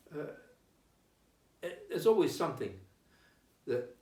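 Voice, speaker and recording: Audible room echo surrounds a man's voice. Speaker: town crier. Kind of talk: casual interview.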